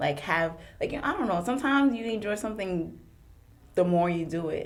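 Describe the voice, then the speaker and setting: A woman with a medium pitch talks at a fairly quick pace. Her intonation is lively, and the room echo is audible. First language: French. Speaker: podcast guest. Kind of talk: casual chat.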